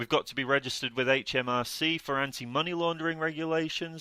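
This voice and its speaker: On a very clean recording with a silent background and a dry, close sound with no echo, a man with a British accent talks at a fairly quick pace in a fairly high pitch, with a bright, sharp tone and lively intonation. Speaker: podcast co-host, property deal sourcer. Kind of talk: educational podcast talk. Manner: fast; hesitant fillers.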